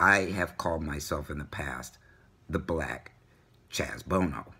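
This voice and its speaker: Speaking fairly slowly with an American accent, a man uses a very deep, low pitch with vocal fry, a bright, sharp tone and ordinary pitch variation. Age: 60s. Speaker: vlogger. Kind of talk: personal vlog. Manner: halting, many fillers.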